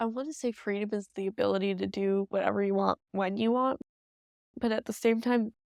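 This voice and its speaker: A woman with a plain, everyday voice and an American accent speaks at medium pitch and a moderate pace with fairly even intonation, the sound dry and close with no echo on a very clean recording with a silent background. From upstate New York, Rochester. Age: 18. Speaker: college student. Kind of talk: documentary interview.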